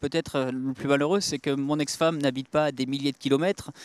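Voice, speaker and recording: A man with a fairly high pitch, fairly quick pace and fairly even intonation, dry and close with no echo, very clean recording, silent background. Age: 30s. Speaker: father on hunger strike. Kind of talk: testimony. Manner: halting, many hesitations.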